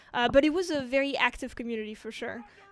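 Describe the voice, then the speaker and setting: A woman with a slight French accent speaks in a high pitch. Her pitch variation is ordinary, and there is noticeable background noise. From France, Paris; teenage years in Japan. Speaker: game community streamer. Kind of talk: live game stream chat.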